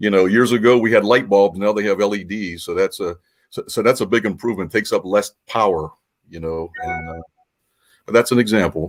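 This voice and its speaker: In a very clean recording with a silent background, a man talks at a fairly quick pace. He has an ordinary speaking voice, fairly low in pitch, with ordinary pitch variation. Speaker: magician and magic collector. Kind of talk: interview answer demonstrating a magic trick.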